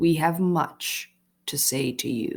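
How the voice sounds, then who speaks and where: Raspy and very deep, a woman puts on a character voice at a very low pitch. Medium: read story. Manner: stern, authoritative.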